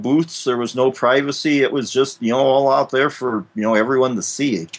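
Talking at a moderate pace, a man with a Midwestern US accent has a medium-pitched voice. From US Midwest. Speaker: fill-in co-host. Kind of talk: casual chat.

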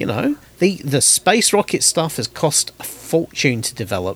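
This man talks with a British accent. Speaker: podcast host. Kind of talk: casual chat.

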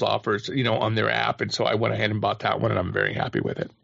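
A man's voice with vocal fry. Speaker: podcast panelist. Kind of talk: casual panel discussion.

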